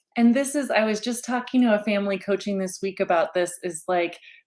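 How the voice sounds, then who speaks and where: A woman in a plain, everyday voice, fairly high in pitch, with ordinary pitch variation. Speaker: parenting mentor. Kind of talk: casual interview conversation.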